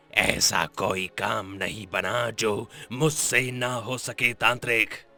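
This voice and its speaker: With music in the background, a man performs a cartoonish character voice at a medium pitch and a fairly slow pace. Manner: proud, imposing.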